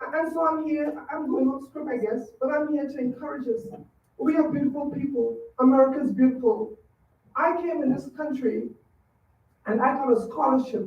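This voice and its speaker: With a slight Trinidadian accent, a woman speaks at a moderate pace in a high pitch with ordinary pitch variation. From Trinidad and Tobago. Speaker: public commenter at school board meeting. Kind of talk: public comment speech. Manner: halting.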